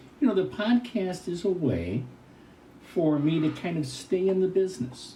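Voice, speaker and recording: A man with a high pitch and a dark, mellow tone, lively intonation, a moderate pace and audible room echo. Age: 70s. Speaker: retired hot air balloon event announcer. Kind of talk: interview.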